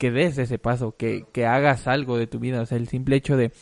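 Against a quiet background, a man with a Mexican accent speaks at medium pitch in a monotone, flat delivery, the sound dry and close with no echo. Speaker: musician. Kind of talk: casual chat.

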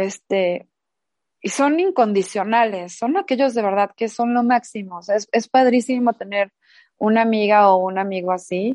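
A woman speaks at a moderate pace, her sound dry and close with no echo. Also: fairly high pitch for a woman, ordinary pitch variation, quiet background. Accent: Mexican. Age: 40s. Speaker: podcast co-host. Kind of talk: casual chat.

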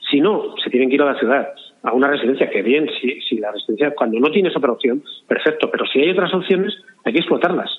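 Lively intonation runs through the speech. Words come at a very fast pace. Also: man, fairly high pitch for a man. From Spain, León province (Castellanos). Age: 60s. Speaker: cultural association member. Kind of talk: interview. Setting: phone call.

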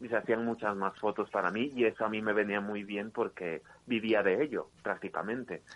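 An unremarkable speaking voice keeps a moderate pace and fairly even intonation. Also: man. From Ecuador. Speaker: dancer and impersonator. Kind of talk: interview.

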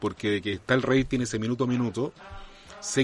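A man talks fairly quickly at a medium pitch. There is noticeable background noise. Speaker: actor and puppeteer. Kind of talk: casual chat.

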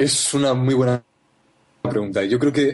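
A man speaks fairly slowly and somewhat breathily, his pitch varying in an ordinary way. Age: 20s. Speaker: marketer and university student. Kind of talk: interview. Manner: halting, many repetitions.

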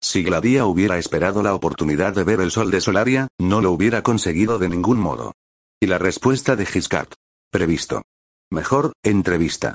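With a very deep, low pitch and ordinary pitch variation, a man speaks at a moderate pace and very even loudness in a dry, close sound with no echo. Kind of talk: audiobook reading. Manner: formal, measured literary narration; shifts tone to voice characters in dialogue.

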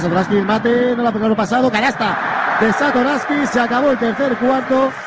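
A man's animated, fairly quick speech over noticeable background noise. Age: 30s. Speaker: basketball radio commentator. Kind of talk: live commentary.

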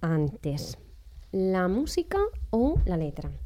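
A woman's dark, mellow tone. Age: 20s. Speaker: radio host. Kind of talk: interview. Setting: studio.

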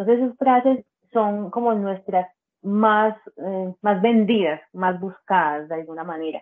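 A woman with an ordinary speaking voice talks at a fairly slow pace, her pitch medium and her pitch variation ordinary. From Colombia, Bajo Cauca region of Antioquia. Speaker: social communicator and literary apparel entrepreneur. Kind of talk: casual interview.

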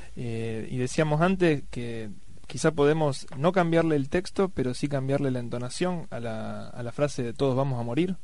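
Amid audible room echo, a fairly high-pitched man talks at a moderate pace with ordinary pitch variation. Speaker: radio host. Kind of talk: radio talk show.

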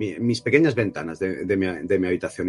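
A somewhat breathy man talks at a very fast pace with ordinary pitch variation, in a dry, close sound with no echo. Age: 40s. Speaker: film director. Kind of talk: interview. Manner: halting, many repetitions and fillers.

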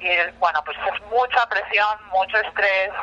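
In a Spanish accent, the speaker uses ordinary pitch variation over noticeable background noise. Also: woman. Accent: Spanish (Spain). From Spain. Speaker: nonprofit program coordinator. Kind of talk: interview. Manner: hesitant, many fillers.

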